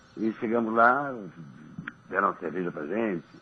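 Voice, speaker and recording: A man speaks with ordinary pitch variation. Noticeable background noise sits behind him. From Niterói, Rio de Janeiro state, Brazil. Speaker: former professional footballer. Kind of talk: radio interview chat. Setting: radio studio.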